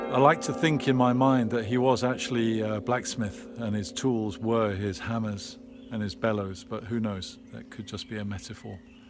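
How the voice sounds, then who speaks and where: Music plays in the background as a man speaks with an English accent at a moderate pace. His pitch is medium and his intonation fairly even. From England. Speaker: local resident, video blogger. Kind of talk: casual vlog narration. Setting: outdoors in churchyard. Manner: quiet.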